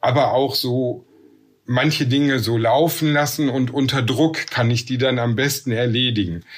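A man with medium pitch speaks at a fairly slow pace in a plain, everyday voice. His intonation stays fairly even and his loudness very even. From Ruhr area / Bergisches Land, western Germany. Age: 50s. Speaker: nurse and works council chair. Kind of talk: interview.

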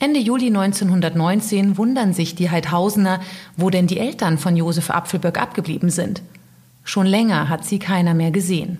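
A woman's somewhat breathy, medium-pitched voice in a dramatic, serious tone, with ordinary pitch variation at a moderate pace. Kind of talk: true-crime narration. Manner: serious, measured storytelling pace; dramatic, suspenseful.

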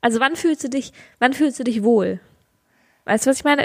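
A woman with a high voice speaks at a fairly quick pace with fairly even intonation in a dry, close sound with no echo. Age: 20s. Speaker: podcast co-host. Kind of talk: casual chat. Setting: recording in own room.

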